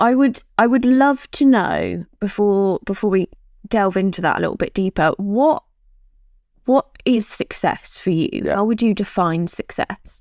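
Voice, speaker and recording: On a very clean recording with a silent background and a dry, close sound with no echo, a woman with an unremarkable speaking voice talks fairly slowly at a medium pitch with lively intonation. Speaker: podcast host. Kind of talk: casual interview chat.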